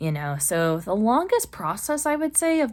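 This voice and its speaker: The recording of this woman is very clean, with a silent background. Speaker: lifestyle vlogger. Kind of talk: casual vlog talk. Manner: fast; animated.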